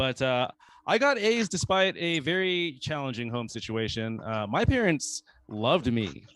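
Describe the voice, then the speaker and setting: Speaking with an American accent, a man keeps a moderate pace while his pitch makes very wide swings. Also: medium pitch for a man. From US South, North Carolina. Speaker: comedian. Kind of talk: stand-up. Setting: open mic stage with audience. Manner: halting, many fillers.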